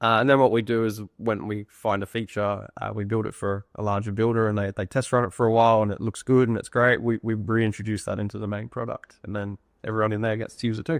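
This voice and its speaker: Speaking very fast with hardly any pauses, a man with an Australian accent keeps a flat monotone at a fairly low pitch, the sound dry and close with no echo. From Australia, Sunshine Coast Queensland. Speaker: software founder, former estimator. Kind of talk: casual interview chat. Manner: hesitant, many fillers and repeats.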